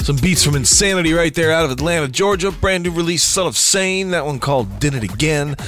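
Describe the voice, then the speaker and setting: Over music in the background, a man with a fairly high pitch speaks very fast with hardly any pauses, ordinary pitch variation and very even loudness. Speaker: radio host. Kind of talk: scripted radio host patter, promo-style intros and outros. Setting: internet radio studio. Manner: upbeat, energetic, enthusiastic.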